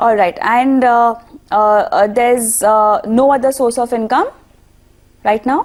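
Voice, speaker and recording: Speaking high at a fairly slow pace with long, frequent pauses, a woman keeps ordinary pitch variation and very even loudness. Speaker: TV business show host. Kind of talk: call-in finance show.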